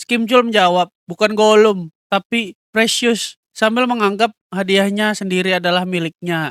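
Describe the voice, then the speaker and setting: In a dry, close sound with no echo, a man with high pitch talks at a fairly slow pace with fairly even intonation. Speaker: manhwa recap narrator. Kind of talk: story narration. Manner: casual, self-correcting.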